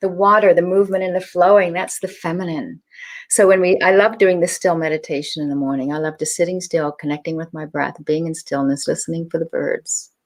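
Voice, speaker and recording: This woman has a plain, everyday voice, fairly low in pitch with ordinary pitch variation, speaking at a fairly quick pace on a very clean recording with a silent background. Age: 60s. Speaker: author and tantric teacher. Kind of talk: interview.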